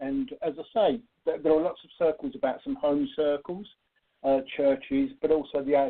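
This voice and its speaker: A man with a British accent speaks at a moderate pace in a fairly high pitch with lively intonation. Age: 60s. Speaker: spiritual medium. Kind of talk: radio interview.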